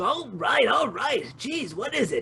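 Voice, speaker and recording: The voice is pitched high and put on as a character. Its pace is fairly slow. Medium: audio drama. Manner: wordy, fussy, easily rattled.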